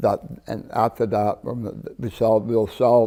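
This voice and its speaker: Over a very clean recording with a silent background, a man speaks at a fairly slow pace in a fairly low voice with a dark, mellow tone. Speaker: cannabis company founder. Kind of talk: TV interview. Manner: halting, many repeats and restarts.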